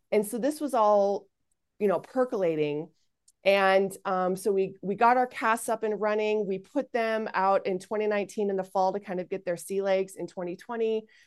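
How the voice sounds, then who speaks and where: A woman with an unremarkable speaking voice at medium pitch talks at a moderate pace with ordinary pitch variation against a quiet background. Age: 40s. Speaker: founder of an online mothers' community, former comedy performer. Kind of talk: interview conversation.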